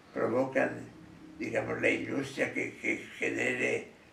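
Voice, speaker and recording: Amid noticeable background noise and audible room echo, a man speaks very slowly. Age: 80s+. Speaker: architect. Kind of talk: interview.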